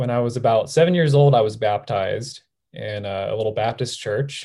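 In a very clean recording with a silent background, a man with an American accent speaks at a moderate pace with ordinary pitch variation. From Southern California. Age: 20s. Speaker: nurse. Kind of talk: testimony.

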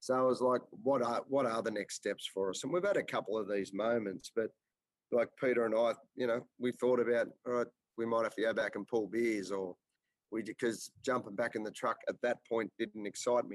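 A man with an Australian accent talks at a moderate pace, his medium-pitched voice keeping a fairly even intonation. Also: dry, close sound with no echo. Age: 40s. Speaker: business owner. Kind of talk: interview. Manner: halting.

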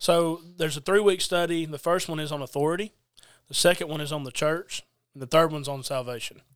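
A man with a Southern US accent, fairly high-pitched, talking at a very fast pace with fairly even intonation. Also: big swings in loudness. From US South, Georgia (Adairsville). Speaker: preacher. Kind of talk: casual religious discussion.

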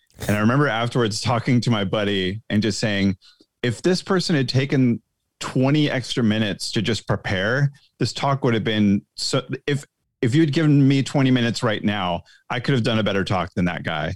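In a normal speaking voice of medium pitch, a man talks at a fairly quick pace with lively intonation and very even loudness. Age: 40s. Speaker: guest, social media creator. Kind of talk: casual chat. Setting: video call.

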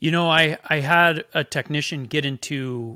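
Against a very clean, silent background, a man speaks in a bright, sharp tone with fairly even intonation. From small-town farming community. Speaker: entrepreneur. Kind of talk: casual chat.

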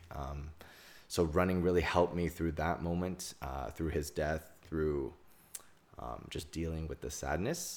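This man's voice has a very deep, low pitch. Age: 20s. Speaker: guest, boyfriend, computer engineer. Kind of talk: casual chat.

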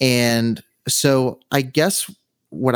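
A man with an American accent and medium pitch, in a dry, close sound with no echo on a very clean recording with a silent background. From Southern California. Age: 20s. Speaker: videographer and podcaster. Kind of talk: interview conversation.

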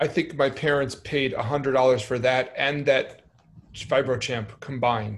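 Speaking at a fairly slow pace, a man with an American accent has a medium pitch, a somewhat breathy sound and fairly even intonation. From New York (Brooklyn). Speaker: podcast host, musician. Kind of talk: casual chat.

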